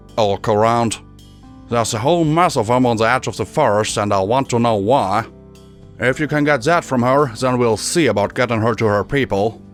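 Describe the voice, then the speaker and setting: Clear music plays behind a gruff, growling put-on character voice delivered at a moderate pace. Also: man, medium pitch for a man. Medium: read story. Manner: gruff, blunt, commanding.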